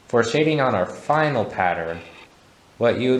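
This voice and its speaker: Audible room echo hangs around this voice. A man speaks with lively intonation. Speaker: art instructor. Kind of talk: tutorial. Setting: art gallery. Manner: stuttering; halting.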